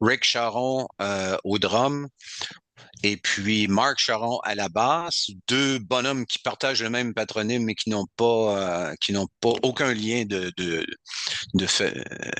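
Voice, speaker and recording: A man with a Quebec accent talks at a very slow pace. His medium pitch has ordinary variation, and the sound is dry and close with no echo. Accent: Québécois French. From Quebec, Côte-Nord. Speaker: heavy metal singer. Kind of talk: interview.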